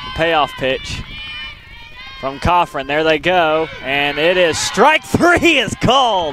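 A man's high voice with lively intonation at a very slow pace, over noticeable background noise. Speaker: sports play-by-play announcer. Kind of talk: live sports commentary, play-by-play. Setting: softball field broadcast.

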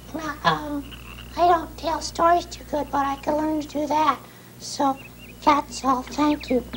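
Clear background noise sits behind a cartoonish character voice moving at a fairly slow pace. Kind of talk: children's puppet show. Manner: shy, humble, earnest.

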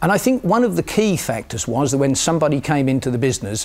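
A man talking at a very fast pace. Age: 50s. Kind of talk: interview. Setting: studio. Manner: hesitant, with fillers and repetitions. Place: studio. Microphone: lapel.

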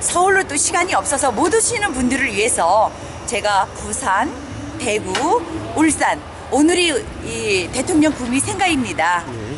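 A woman speaks at a very slow pace and a high pitch, with very wide pitch swings. Music is clearly heard in the background. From South Korea. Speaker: political rally organizer; MC. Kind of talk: interview. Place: street. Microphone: phone near.

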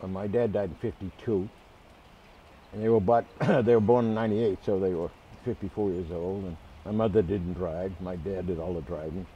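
A man's very deep, low voice at a fairly quick pace, over light background noise. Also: fairly even intonation. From Boston area. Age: 80s+. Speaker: man remembering his parents. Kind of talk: interview answer. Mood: warm, reminiscing.

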